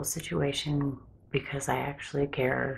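A soft-spoken woman at a fairly slow pace. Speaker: ASMR creator. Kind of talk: ASMR ramble. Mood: personal, slightly anxious. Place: home room. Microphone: phone near.

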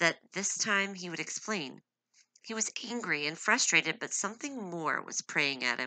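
A natural voice reads text aloud. Nothing much stirs behind it.

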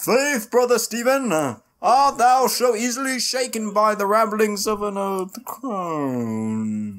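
In a solemn tone, a man with a high pitch and ordinary pitch variation speaks at a fairly slow pace. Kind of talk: mock archaic pageant acting. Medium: game stream. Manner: stalwart, solemn, faux-biblical.

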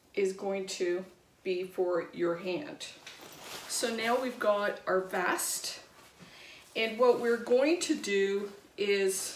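Over light background noise and audible room echo, a woman speaks at a very slow pace with long, frequent pauses and ordinary pitch variation. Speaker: craft demonstrator. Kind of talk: tutorial. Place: home room. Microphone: camera far.

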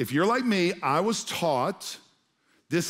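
The pitch varies in an ordinary way. The background is quiet. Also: man. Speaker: pastor. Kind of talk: sermon. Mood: humorous, playful asides. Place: stage. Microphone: headset.

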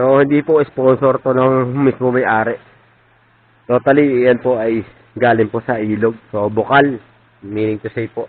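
A man speaks at a medium pitch and a fairly slow pace. He has an unremarkable speaking voice. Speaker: vlogger. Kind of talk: casual vlog narration.

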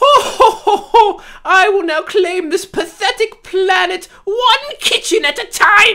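In a put-on character voice at an extremely high pitch, someone cackles at a fairly slow pace with hardly any pauses. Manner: haughty, theatrical cackling.

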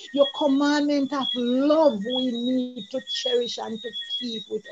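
Very slow speech over loud background noise. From Jamaica. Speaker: church elder. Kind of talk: prayer. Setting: video call. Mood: earnest, devout. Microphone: video call.

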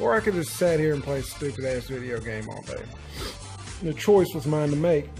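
A man speaks over clear music in the background. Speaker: motorcycle vlogger. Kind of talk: casual vlog chat. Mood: reflective, slightly preachy. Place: home room. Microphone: phone near.

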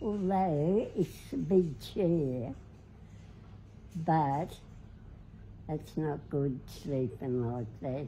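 With an Australian accent, a woman speaks in a very deep, low, dark and mellow voice that is somewhat breathy, using lively intonation at a very slow pace with long, frequent pauses over light background noise. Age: 90s. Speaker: social media personality. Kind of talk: casual chat. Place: home room. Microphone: phone near.

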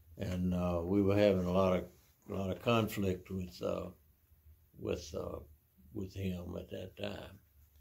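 A man speaks with a Southern US accent at a fairly low pitch. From US South, Mississippi. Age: 80s+. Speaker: retiree recounting his life. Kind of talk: life story interview. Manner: halting, many fillers and repeats. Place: home room.

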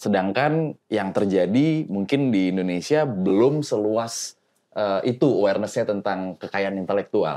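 Against a quiet background, a man with a dark, mellow tone and fairly low pitch talks at a fairly slow pace with lively intonation and hardly any pauses. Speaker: voice-over artist and former radio announcer; guest. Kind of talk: casual chat. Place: home room.

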